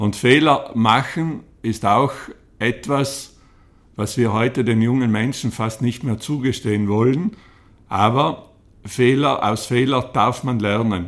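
Very slow male speech at a medium pitch with ordinary pitch variation, on a very clean recording with a silent background. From South Tyrol, Italy. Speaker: entrepreneur and hotelier. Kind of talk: interview. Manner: halting.

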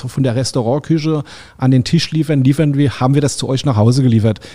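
A man's voice has a dark, mellow tone and fairly even intonation. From Rheinhessen, Germany. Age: 60s. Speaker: caterer and chef. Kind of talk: interview.

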